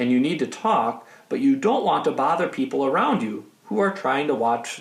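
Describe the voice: Someone reads aloud in a plain manner.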